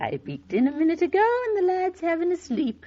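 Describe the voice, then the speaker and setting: Putting on a character voice, a woman talks fairly quickly in a squeaky, extremely high pitch with very wide pitch swings. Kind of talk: 1940s radio acting. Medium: old radio play. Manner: wheedling, gossipy.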